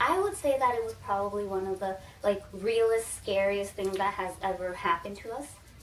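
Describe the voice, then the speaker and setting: Speaking at a fairly quick pace, a woman with an unremarkable speaking voice keeps a medium pitch and fairly even intonation. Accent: American. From Texas, U.S. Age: 20s. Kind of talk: casual talk to camera.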